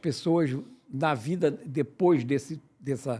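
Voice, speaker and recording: In a very clean recording with a silent background, a man with a fairly high pitch talks at a very slow pace with ordinary pitch variation. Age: 80s+. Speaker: podcast host and business consultant. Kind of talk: podcast interview. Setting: studio. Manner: halting, repeats words.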